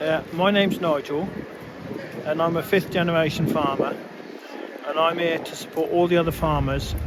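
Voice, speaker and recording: The speech moves at a moderate pace over noticeable background noise and audible room echo. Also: man. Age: 60s. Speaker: farmer. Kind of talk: street interview. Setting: outdoors at street rally.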